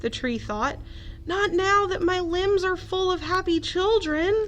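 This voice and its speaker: Doing a put-on character voice, a woman speaks squeakily at an extremely high pitch and a fairly slow pace, with clear background noise behind her. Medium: read story. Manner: grumbling, sulky.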